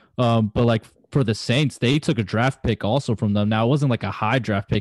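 A man at medium pitch talks at a fairly quick pace with hardly any pauses and very even loudness. The sound is dry and close with no echo, and the background is quiet. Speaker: sports podcast co-host. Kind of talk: casual sports talk. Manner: animated, heated.

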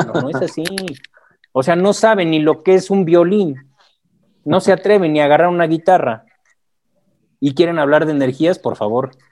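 Talking at a moderate pace with long, frequent pauses, a man uses a fairly high pitch and ordinary pitch variation. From Mexico. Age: 40s. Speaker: akashic records reader. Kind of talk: interview. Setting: video call.

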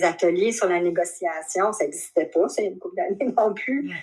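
A woman with a Quebec accent and lively intonation. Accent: Québécois French. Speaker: shibari practitioner. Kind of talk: interview. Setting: video call.

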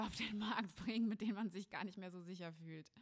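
At a moderate pace, a woman talks in a normal speaking voice of medium pitch with fairly even intonation. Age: 20s. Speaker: spiritual coach and podcast host. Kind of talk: solo podcast monologue.

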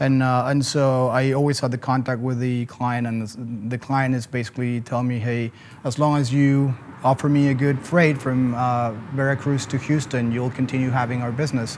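A man with a Spanish accent speaks at a moderate pace and medium pitch. His intonation is flat and monotone, and there is noticeable background noise. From Mexico City, Mexico. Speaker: logistics company co-founder. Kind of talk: casual interview. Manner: halting, many fillers.

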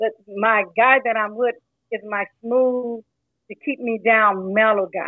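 This woman has an unremarkable speaking voice, fairly high in pitch, and talks at a fairly slow pace. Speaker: caller. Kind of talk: casual opinion chat. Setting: phone or app call.

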